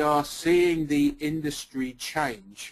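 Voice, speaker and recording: Speaking with an English accent, a man uses a fairly high pitch. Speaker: company founder and CEO. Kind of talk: webinar presentation. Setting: webinar call. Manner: hesitant, many fillers.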